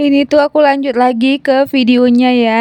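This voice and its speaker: A woman speaks at a fairly slow pace, with a dry, close sound and no echo. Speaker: homemaker vlogger. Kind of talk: vlog voiceover narration. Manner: casual, chatty.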